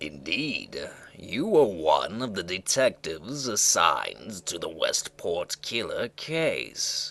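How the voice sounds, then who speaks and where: A man's put-on character voice at a fairly slow pace with hardly any pauses. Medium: read story. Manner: gentle, formal, calling her "my dear".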